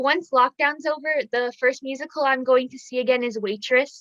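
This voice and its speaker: Projecting her voice, a woman speaks with an American accent at a moderate pace. The tone is bright and sharp, and the sound is dry and close with no echo. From United States, Scottish family. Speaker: interviewer. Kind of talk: interview.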